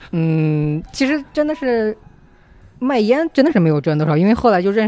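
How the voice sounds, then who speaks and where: A man makes very wide pitch swings while talking at a fairly quick pace. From Hubei, China. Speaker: intern who worked in New Zealand. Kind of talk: casual chat.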